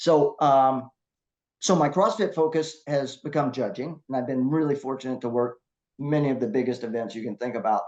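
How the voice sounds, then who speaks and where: With a normal speaking voice, the speaker goes at a moderate pace with ordinary pitch variation against a quiet background. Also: man, medium pitch for a man. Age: 60s. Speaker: masters CrossFit athlete and competition judge. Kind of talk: casual interview chat.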